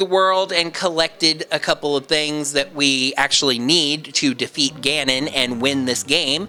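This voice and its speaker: Music plays behind a man who talks at a fairly slow pace with lively intonation. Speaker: let's play gaming commentator. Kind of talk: gameplay commentary.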